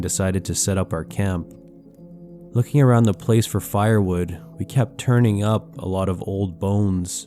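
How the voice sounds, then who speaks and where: A man talks in a fairly low voice as music plays behind him. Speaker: horror story narrator and YouTuber. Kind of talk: horror story narration; calm storytelling with ASMR-style delivery.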